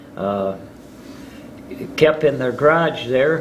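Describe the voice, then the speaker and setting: A man with an Upper Midwest accent, with audible room echo and noticeable background noise. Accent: Upper Midwest American. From northern Michigan (Charlevoix). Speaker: local elder recounting town history. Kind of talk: oral history interview. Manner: halting, many filler words.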